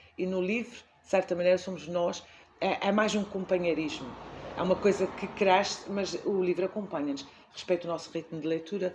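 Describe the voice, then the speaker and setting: A woman's speech comes through with noticeable noise behind it. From Azores, Portugal. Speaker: library director, former teacher. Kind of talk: interview answer.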